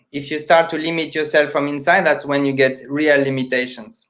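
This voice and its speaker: The speaker is a man with a non-native accent. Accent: foreign. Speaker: magician, charity founder. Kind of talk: casual chat.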